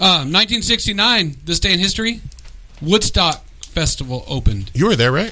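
Raising and projecting his voice, a man speaks at a high pitch and a moderate pace with very wide pitch swings. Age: 50s. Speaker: radio show host and comedian. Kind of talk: casual chat. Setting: studio. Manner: animated.

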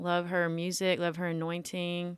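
This woman has a Tennessee accent and a fairly low pitch, recorded very cleanly against a silent background. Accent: Southern US (Tennessee). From US South, Millington, Tennessee near Memphis. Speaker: singer-songwriter and music student. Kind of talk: interview, casual chat.

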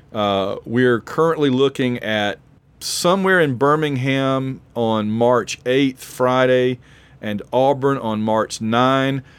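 A man speaks at a medium pitch. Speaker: podcast host; college professor. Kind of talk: casual sports chat.

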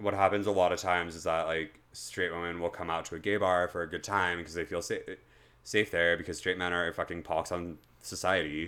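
In a very deep, low pitch, a man speaks fairly quickly with a bright, sharp tone and monotone, flat intonation. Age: 20s. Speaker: podcast host. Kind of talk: casual chat about mental health.

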